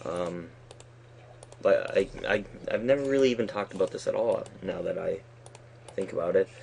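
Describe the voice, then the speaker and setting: Mumbling, a man speaks at a moderate pace. He leaves long, frequent pauses. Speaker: Minecraft let's play YouTuber. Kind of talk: gaming commentary. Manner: halting, mumbling; casual chatty. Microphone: poor recording quality.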